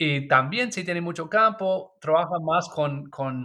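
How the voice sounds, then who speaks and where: A man with an English accent talks at a very slow pace. His pitch is fairly high. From US, Maryland. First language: English (speaking Spanish). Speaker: permaculture designer and author. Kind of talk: interview. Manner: halting, with fillers.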